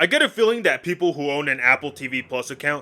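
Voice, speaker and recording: Music in the background behind a man's very fast, animated, fairly high-pitched speech. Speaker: YouTube commentator. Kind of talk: casual video commentary.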